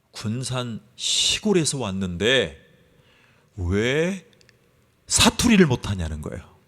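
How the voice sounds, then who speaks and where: Pitched in the medium range, the man's voice swings very widely up and down. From South Korea, Gunsan (North Jeolla). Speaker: pastor. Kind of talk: sermon.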